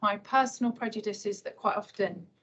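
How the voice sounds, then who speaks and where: A quiet, somewhat breathy woman speaks at a fairly quick pace in a fairly high pitch, her intonation fairly even. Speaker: civil servant presenting transport policy. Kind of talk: conference talk. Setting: hybrid event with live audience. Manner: quietly spoken.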